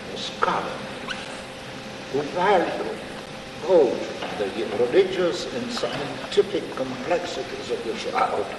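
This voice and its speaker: A man speaks at a very slow pace with long, frequent pauses. The recording has an audible room echo and noticeable background noise. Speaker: priest. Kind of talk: lecture. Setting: stage with audience.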